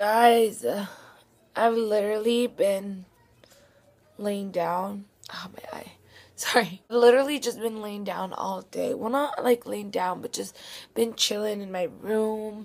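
A woman talks at a fairly slow pace with a fairly high pitch, fairly even intonation, and long, frequent pauses. Her loudness swings widely, and there is noticeable background noise. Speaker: vlogger. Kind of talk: casual vlog chat.

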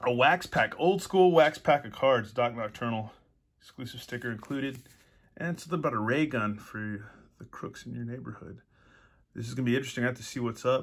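Ordinary pitch variation, big swings in loudness and a fairly quick pace over a quiet background. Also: man. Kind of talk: casual unboxing chat. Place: home room. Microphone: phone near.

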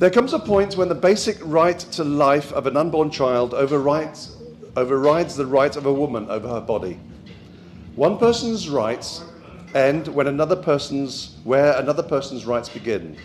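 A man talks at a moderate pace while light background noise runs underneath. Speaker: speaker. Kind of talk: speech. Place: hall. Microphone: handheld.

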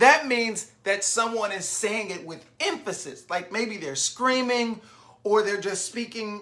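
A natural reading voice, nothing more.

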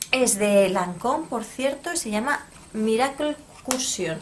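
Light background noise accompanies a woman speaking in a Spanish accent. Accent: Peninsular Spanish. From Spain. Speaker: beauty YouTuber. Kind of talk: product review vlog. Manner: casual, hesitant. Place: home room. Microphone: phone near.

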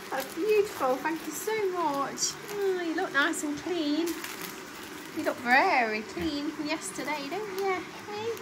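With an English accent, a woman speaks at a very slow pace in an extremely high voice with lively intonation, amid audible room echo and noticeable background noise. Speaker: lifestyle vlogger. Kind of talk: casual vlog talk to camera.

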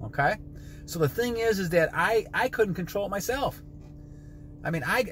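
Over light background noise with a dry sound and no echo, a man talks in a high voice at a fairly quick pace, his tone animated and his intonation lively. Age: 60s. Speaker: motivational vlogger. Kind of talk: motivational monologue. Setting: in a car. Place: car. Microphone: phone near.

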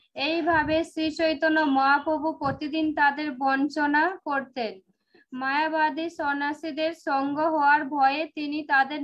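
This woman's voice sits high in pitch. Her intonation stays monotone and flat. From Paschim Medinipur, West Bengal; West Bengal. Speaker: class participant reading verses; scripture reader in online study group. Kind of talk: reading aloud. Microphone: video call.

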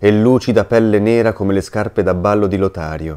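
Speaking at a fairly quick pace, a man has a fairly low pitch, a dark, mellow tone and fairly even intonation. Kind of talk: literary audiobook reading of a diary, read aloud in a hushed, intimate voice.

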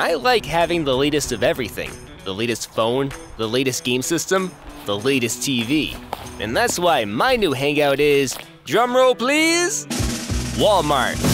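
Over clear music in the background, the speaker sounds upbeat, with a dry sound and no echo. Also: man, fairly high pitch for a man, lively intonation, fairly slow pace. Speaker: voice actor. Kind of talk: TV commercial read; commercial read. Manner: upbeat, conversational.

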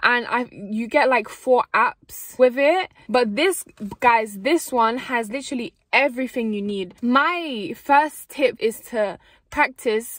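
A woman speaks at a very slow pace in a high pitch with ordinary pitch variation, against a quiet background with a dry sound and no echo. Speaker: vlogger. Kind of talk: casual vlog chat. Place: car. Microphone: phone near.

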